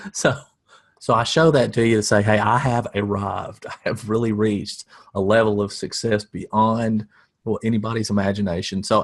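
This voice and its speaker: A man with a Southern US accent at a fairly low pitch, with fairly even intonation and a fairly quick pace. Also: quiet background. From US South. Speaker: marketing coach. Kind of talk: webinar presentation. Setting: home office. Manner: dry deadpan humor.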